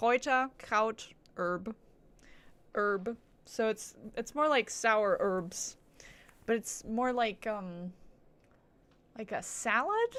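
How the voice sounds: The voice has a fairly bright tone and lively intonation. The pace is slow. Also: woman.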